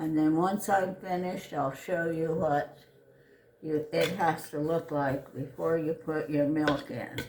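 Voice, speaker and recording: A woman speaks fairly slowly with a very deep, low pitch and fairly even intonation. Audible room echo and noticeable background noise surround her voice. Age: 80s+. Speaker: home cook, grandmother. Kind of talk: cooking tutorial. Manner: casual, conversational.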